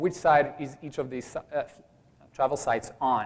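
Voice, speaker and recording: This man speaks with a Belgian accent at a moderate pace. His pitch is fairly high, with ordinary pitch variation. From Belgium. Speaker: startup founder. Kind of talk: pitch presentation.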